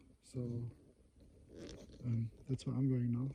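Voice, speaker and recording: At a moderate pace, a man speaks at medium pitch in a somewhat breathy, dark, mellow voice with monotone, flat intonation. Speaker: wildlife photographer. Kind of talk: vlog narration outdoors. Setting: outdoors in snowy forest. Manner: whispering; hesitant, many fillers.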